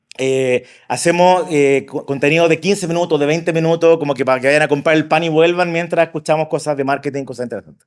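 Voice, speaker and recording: A fairly high-pitched man at a very fast pace, with fairly even intonation. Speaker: marketing expert and speaker. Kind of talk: conference talk. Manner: casual.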